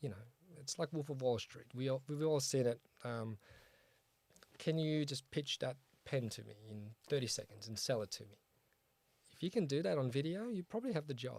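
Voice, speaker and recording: Medium-pitched male speech in an Australian accent, fairly quick, with lively intonation, big swings in loudness and long, frequent pauses. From Australia (Sydney), born in Poland. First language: Polish. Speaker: start-up founder and CEO. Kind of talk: interview on a start-up show. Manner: casual, many fillers.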